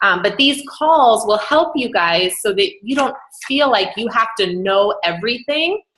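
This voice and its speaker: A woman speaks in a normal speaking voice, pitched fairly high. Her intonation is lively. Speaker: business team leader. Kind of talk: training call.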